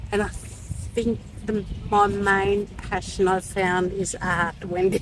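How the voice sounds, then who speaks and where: Over noticeable background noise, a woman speaks at a very slow pace in a flat, monotone way. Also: medium pitch for a woman. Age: 60s. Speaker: art journaling teacher. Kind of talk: casual chat. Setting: outdoors.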